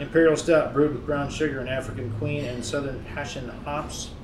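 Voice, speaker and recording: Noticeable background noise under a man's voice with fairly even intonation. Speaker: podcast host. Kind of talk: casual chat. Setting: brewery taproom, in person.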